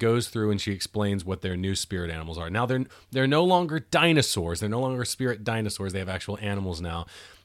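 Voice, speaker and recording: A man's fairly low voice with an American accent and lively intonation, a plain, everyday voice on a very clean recording with a silent background. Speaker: podcast co-host. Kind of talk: casual movie commentary.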